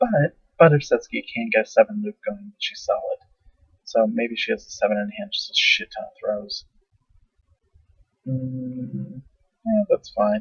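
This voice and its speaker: A quiet man at a fairly slow pace, with long, frequent pauses and big swings in loudness. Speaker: game match commentator. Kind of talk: live commentary. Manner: speaking quietly.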